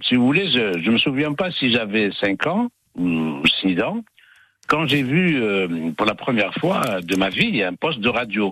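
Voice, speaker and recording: A man with a medium-pitched voice and a bright, sharp tone speaks very slowly, his pitch swinging very widely. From Algeria (Algiers). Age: 70s. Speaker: retired radio journalist. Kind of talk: testimony. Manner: articulate, trained diction.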